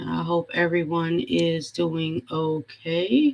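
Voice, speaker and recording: Speaking very slowly, a woman with a fairly low pitch keeps her intonation fairly even. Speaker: live stream host. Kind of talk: casual live stream talk. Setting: live stream.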